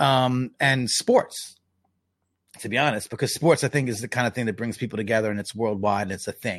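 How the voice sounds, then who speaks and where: This voice has a New York accent. The pace is fairly quick. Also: man, medium pitch for a man, ordinary pitch variation. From US Northeast, Long Island, New York. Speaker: journalist and hip-hop advocate. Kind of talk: casual interview. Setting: remote call from home.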